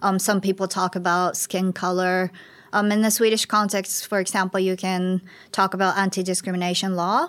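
A woman speaks at a moderate pace with a Japanese accent and a flat, monotone intonation, recorded very cleanly against a silent background. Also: medium pitch for a woman, very even loudness. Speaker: migration researcher. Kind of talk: panel discussion.

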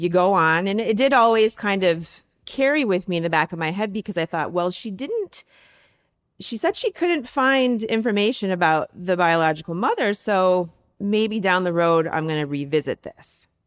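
A woman's plain, everyday voice in an American accent, at a moderate pace with lively intonation, on a very clean recording with a silent background and a dry, close sound with no echo. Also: medium pitch for a woman. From US Midwest, Michigan. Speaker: university faculty member. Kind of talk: personal testimony interview.

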